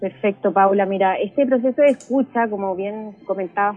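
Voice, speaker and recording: A woman's fairly high-pitched voice at a moderate pace, a normal speaking voice. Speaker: parish communicator and journalist. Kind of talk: radio interview.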